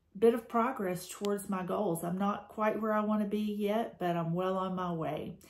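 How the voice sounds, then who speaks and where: A woman with an American accent talks at a moderate pace and medium pitch, with hardly any pauses. She has an ordinary speaking voice. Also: fairly even intonation. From Georgia, USA. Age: 50s. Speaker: school administrator. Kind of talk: testimonial talk to camera.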